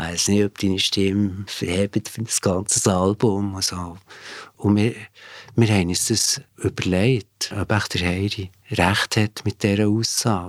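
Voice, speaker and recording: In a dry, close recording with no echo, very clean with a silent background, a man speaks at a fairly slow pace with fairly low pitch and monotone, flat intonation. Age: 50s. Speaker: former band bassist. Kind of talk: interview recollection.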